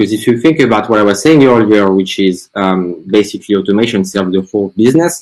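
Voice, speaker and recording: In a French accent, a man speaks at a fairly low pitch. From France. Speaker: marketing agency founder. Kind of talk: webinar presentation.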